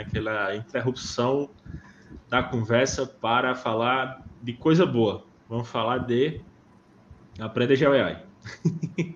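A man's voice with ordinary pitch variation. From Northeast Brazil (Pernambuco or Paraíba). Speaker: podcast host, geo-AI course creator. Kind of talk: course promotion; casual podcast chat. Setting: live video podcast.

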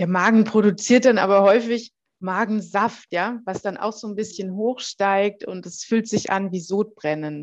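Against a quiet background, a woman talks at a fairly slow pace in a normal speaking voice. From southern Germany, Heilbronn. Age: 40s. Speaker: health coach for a metabolic disorder. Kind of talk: interview podcast.

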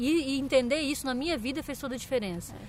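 A woman's high voice with fairly even intonation at a fairly quick pace. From Brazil, Santa Catarina. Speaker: podcast host, musician. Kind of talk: casual interview chat. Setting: outdoors in a park.

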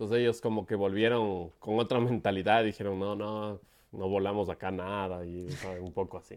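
An ordinary speaking voice from a man at a fairly low pitch, with fairly even intonation and a moderate pace, over a quiet background. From Ecuador, Quito. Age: 40s. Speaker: paragliding pilot and event organizer. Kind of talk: casual interview.

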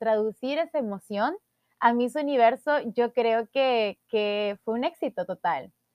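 A woman talks fairly slowly, her pitch high. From El Salvador. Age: 20s. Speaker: podcast host, beauty queen. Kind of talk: personal monologue podcast.

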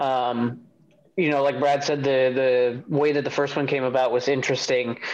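Noticeable background noise sits behind a man talking in a monotone, flat intonation with an American accent. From Chicago area. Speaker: metal band vocalist and guitarist. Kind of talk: casual interview. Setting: video call.

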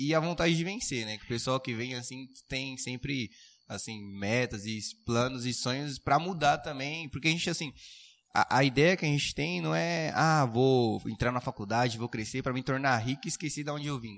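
A man has an unremarkable speaking voice, talking at a moderate pace with ordinary pitch variation. The background is quiet. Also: medium pitch for a man. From Suzano, São Paulo state, Brazil. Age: young. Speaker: prep course student. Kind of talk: casual chat.

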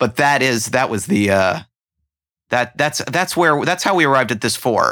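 A man with an American accent, medium pitch, bright, sharp tone and lively intonation, on a very clean recording with a silent background. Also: moderate pace. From New Jersey. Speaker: film critic and author. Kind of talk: casual chat. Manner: halting.

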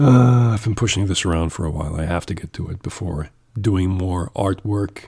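A man speaks with a very deep, low pitch and a dark, mellow tone. He is somewhat breathy, keeping a moderate pace and ordinary pitch variation. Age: 40s. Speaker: podcaster, logistics worker. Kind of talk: casual monologue. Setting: home recording. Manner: halting.

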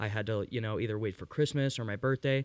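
On a very clean recording with a silent background, a man speaks in a plain, everyday voice at medium pitch with ordinary pitch variation. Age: 20s. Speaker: musician in a band. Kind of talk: casual chat. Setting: garage.

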